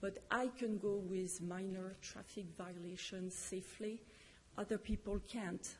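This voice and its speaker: A woman talks at a fairly slow pace in a French accent, her voice somewhat breathy. Her intonation stays flat and monotone. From France. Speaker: public commenter. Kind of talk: public testimony. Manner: halting.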